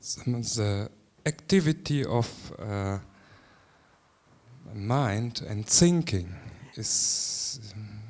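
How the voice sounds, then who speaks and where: Speaking at a very slow pace with a German accent, a man at medium pitch uses lively intonation, with big swings in loudness and long, frequent pauses. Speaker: seminar participant. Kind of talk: question at a seminar. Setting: seminar with audience. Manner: halting.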